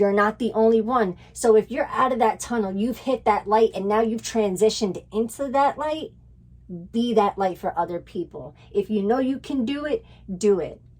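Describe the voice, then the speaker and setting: A woman's fairly high, animated voice with ordinary pitch variation amid noticeable background noise. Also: moderate pace. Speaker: tarot reader. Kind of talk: tarot reading.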